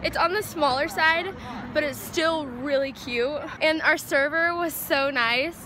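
A woman talks in a raised, projected voice at a moderate pace with ordinary pitch variation. The sound is dry with no echo, and there is noticeable background noise. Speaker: vlogger. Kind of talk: casual vlog chat. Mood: cheerful, excited. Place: street. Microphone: phone near.

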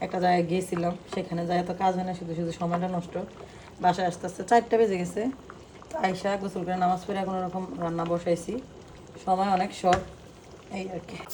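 A woman speaks with monotone, flat intonation. Noticeable background noise runs behind her. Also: medium pitch for a woman. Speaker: vlogger. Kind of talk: casual cooking vlog narration.

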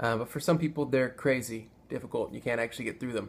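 A man speaks with fairly even intonation and a somewhat breathy voice over light background noise. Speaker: video blogger. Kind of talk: casual vlog tutorial. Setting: home video. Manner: casual, filler-heavy. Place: home room. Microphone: phone near.

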